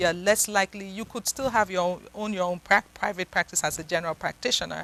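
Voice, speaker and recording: Very fast speech from a woman with a Nigerian accent, medium pitch, bright and sharp tone, fairly even intonation, and a dry, close sound with no echo. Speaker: psychiatrist. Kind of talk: interview.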